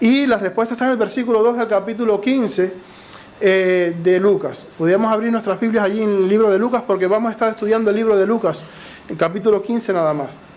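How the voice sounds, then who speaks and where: The speaker talks at a fairly quick pace with a Cuban accent. Noticeable background noise is present. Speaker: lay preacher. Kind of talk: sermon. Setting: church. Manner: occasionally tongue-tied.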